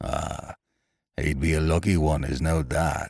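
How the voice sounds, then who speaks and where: In a put-on character voice, a man growls at a very deep, low pitch and a fairly slow pace. The recording is very clean, with a silent background. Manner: gruff.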